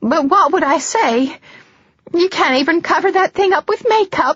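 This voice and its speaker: A woman's put-on character voice, extremely high in pitch, with lively intonation, very even loudness and a moderate pace. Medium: read story. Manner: anxious, defensive.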